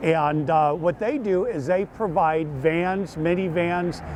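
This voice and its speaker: Over noticeable background noise, a man with a fairly high voice speaks at a fairly slow pace, his pitch varying in an ordinary way. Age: 60s. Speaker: long-distance walker, cancer survivor. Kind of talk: interview.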